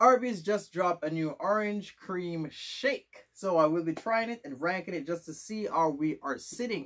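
Against a quiet background, a high-pitched man talks at a moderate pace in an animated, upbeat tone with lively intonation and hardly any pauses. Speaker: food reviewer / YouTuber. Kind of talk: casual video review, tasting test. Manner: animated, upbeat, chatty. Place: home room. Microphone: camera far.

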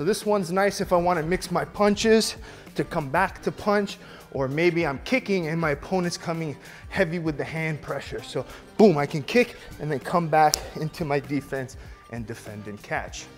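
Faint music plays in the background. Over it, a man talks at a moderate pace. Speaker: kickboxing instructor. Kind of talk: tutorial. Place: gym.

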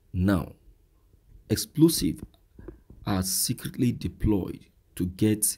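Speaking very slowly with a Nigerian accent, a man has a fairly low pitch and a dark, mellow tone. His voice is somewhat breathy, with lively intonation. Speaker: news commentary vlogger. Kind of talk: outro call to action; news commentary monologue.

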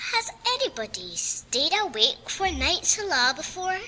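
A female-sounding put-on character voice at an extremely high pitch, with very wide pitch swings and a moderate pace, over clear background noise. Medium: read story. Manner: warm, gentle.

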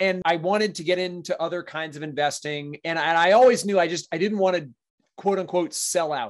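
Fairly quick and high-pitched, a man speaks with ordinary pitch variation. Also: quiet background. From Maine, US. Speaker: real estate investor and property manager; podcast guest. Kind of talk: podcast interview. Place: home room. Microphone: webcam.

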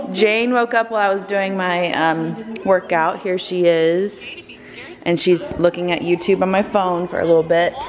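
Light background noise sits under a woman whose moderate pace comes with fairly even intonation. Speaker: parent vlogger. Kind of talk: casual vlog chat. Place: home room. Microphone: phone near.

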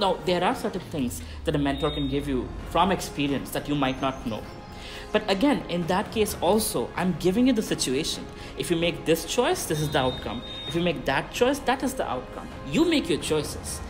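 Music is clearly audible behind the voice. A man keeps a moderate speed. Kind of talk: talking-head advice vlog. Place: garden.

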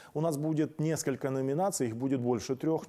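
Dark, mellow male tones with ordinary pitch variation. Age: 50s. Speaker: political talk show host. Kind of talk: monologue commentary. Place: studio. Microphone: lapel.

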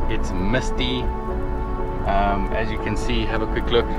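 A man talks over loud background music, the sound dry with no echo. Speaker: travel vlogger. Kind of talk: casual vlog chat. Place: car. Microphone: phone near.

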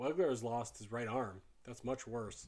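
The clip has an unforced reading voice.

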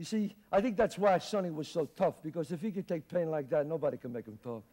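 At a fairly quick pace, a man is talking. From Bronx, New York. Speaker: actor. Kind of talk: theatrical monologue. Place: stage.

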